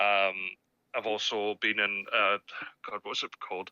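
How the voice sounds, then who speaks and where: With a Scottish accent, a man speaks in a fairly low pitch. His intonation is monotone and flat. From Scotland. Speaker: voice actor. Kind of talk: interview. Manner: halting.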